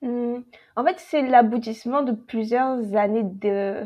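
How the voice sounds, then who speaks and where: A woman speaks very slowly in a high voice, her intonation fairly even. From French Caribbean (Antilles). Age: 20s. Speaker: novelist. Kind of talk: casual roundtable discussion.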